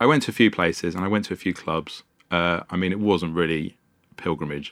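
A man speaks with a London accent. The recording is very clean, with a silent background. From London (Wembley, North London). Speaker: sound engineer and bar founder. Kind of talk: casual interview. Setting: podcast studio.

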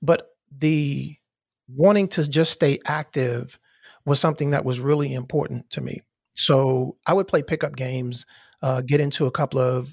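A somewhat breathy voice with fairly even intonation is heard in a very clean recording that has a silent background and a dry, close sound with no echo. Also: man. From US Mid-Atlantic (Maryland, DC area). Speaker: podcast host. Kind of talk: casual interview conversation.

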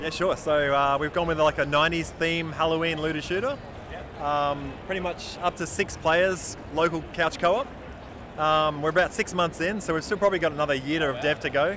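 At a moderate pace, a man with a fairly high pitch speaks with fairly even intonation over noticeable background noise. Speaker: indie game developer. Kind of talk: interview. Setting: convention show floor.

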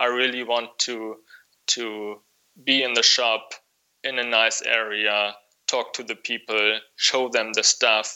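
A man talks with a German accent at a very slow pace. His medium-pitched delivery keeps a monotone, flat intonation. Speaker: wool clothing shop owner. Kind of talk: interview. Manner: halting, many fillers.

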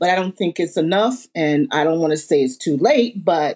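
A normal speaking voice with an American accent moves at a moderate pace with ordinary pitch variation. The recording is very clean, with a silent background. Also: woman. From Southampton, Long Island, New York. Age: 60s. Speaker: museum founder and community advocate. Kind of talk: panel discussion.

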